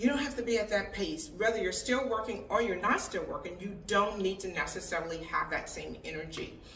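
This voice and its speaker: A woman talks at a fairly quick pace with hardly any pauses, her pitch medium and its variation ordinary. Noticeable background noise can be heard. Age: 60s. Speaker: expat lifestyle vlogger. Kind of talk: casual advice monologue. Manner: conversational.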